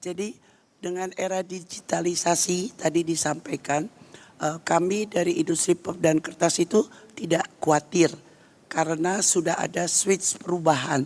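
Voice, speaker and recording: A woman's put-on character voice, husky and hoarse, fairly low in pitch with fairly even intonation at a moderate pace. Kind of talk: formal panel presentation.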